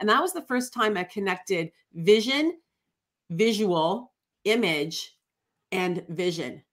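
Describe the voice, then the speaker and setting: A woman speaks with a Canadian accent, her pitch medium and her intonation lively. It's an unremarkable speaking voice. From Ontario, Canada. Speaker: life coach. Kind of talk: interview.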